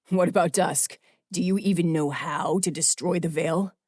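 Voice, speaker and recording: Putting on a growling character voice, a man speaks in a high pitch at a moderate pace with fairly even intonation and very even loudness, the sound dry and close with no echo. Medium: read story. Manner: serious, measured.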